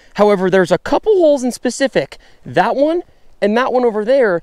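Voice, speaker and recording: A man speaks at a moderate pace with lively intonation. The sound is dry with no echo over a quiet background. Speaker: ice fishing vlogger. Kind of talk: casual vlog chat. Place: open country. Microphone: lapel.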